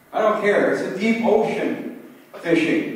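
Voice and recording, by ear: A man with a high pitch and lively intonation speaks at a fairly slow pace, and strong room echo surrounds him.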